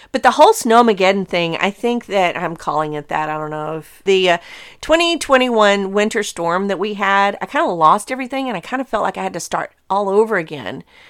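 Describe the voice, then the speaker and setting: The speaker has a normal speaking voice, talking at a fairly quick pace with hardly any pauses and lively intonation. The recording is very clean, with a silent background. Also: woman, medium pitch for a woman. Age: 50s. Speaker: gardening podcast host. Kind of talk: casual solo talk.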